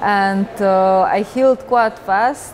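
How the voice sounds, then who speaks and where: A woman speaks with a Slovenian accent. Noticeable background noise runs behind her. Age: 20s. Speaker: professional rock climber. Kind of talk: interview. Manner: halting.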